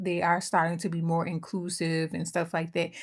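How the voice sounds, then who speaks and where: Animated female speech in an American accent, fairly low in pitch, at a moderate pace, on a very clean recording with a silent background. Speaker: makeup YouTuber. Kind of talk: casual makeup chat to camera.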